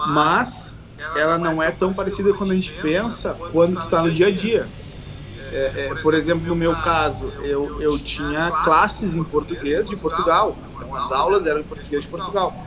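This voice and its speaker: A man with a Brazilian accent and a high pitch speaks at a moderate pace. His intonation is fairly even, and noticeable background noise can be heard. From southern Brazil, Uruguaiana (Rio Grande do Sul). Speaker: fitness coach. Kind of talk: casual chat. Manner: halting.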